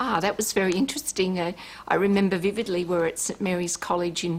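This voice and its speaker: A woman with an Australian accent speaks at a fairly quick pace. Her fairly low pitch carries vocal fry. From Port Kembla, New South Wales, Australia. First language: Italian. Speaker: politician. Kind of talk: TV interview.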